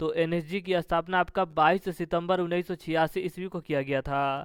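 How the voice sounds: At a moderate pace, a man talks with a fairly high pitch and a clear, smooth tone.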